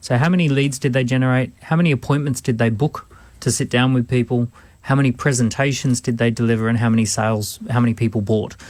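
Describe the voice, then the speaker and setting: This man has an Australian accent and a medium pitch. He talks at a fairly quick pace with ordinary pitch variation. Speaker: entrepreneur and business adviser. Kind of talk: radio business advice.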